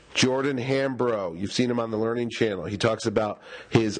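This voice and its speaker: Noticeable background noise sits behind a man whose medium pitch shows ordinary pitch variation. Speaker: convention reporter. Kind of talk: field interview report.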